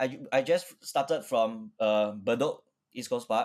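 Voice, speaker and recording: The speaker has a Singaporean accent and ordinary pitch variation. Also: man. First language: Chinese. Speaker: orchestral trumpet player. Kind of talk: interview conversation.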